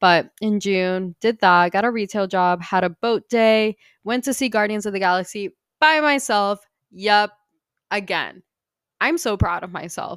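In a very clean recording with a silent background and a dry, close sound with no echo, a woman speaks at medium pitch and a fairly slow pace, with ordinary pitch variation and an animated tone. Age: 20s. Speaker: podcast host. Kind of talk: casual chat.

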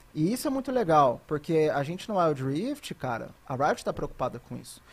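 The speaker is a man. His pace is fairly quick. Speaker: esports caster. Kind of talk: casual chat.

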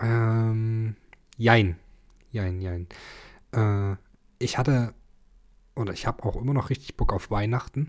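A man talks at a very slow pace, with long, frequent pauses. His intonation stays fairly even. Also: very clean recording, silent background. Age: 20s. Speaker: podcast co-host. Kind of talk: casual chat. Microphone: sits very close to the mic, low level.

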